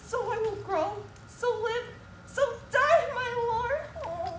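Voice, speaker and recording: A put-on character voice at a fairly slow pace, over light background noise. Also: woman, extremely high pitch for a woman, ordinary pitch variation. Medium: stage play.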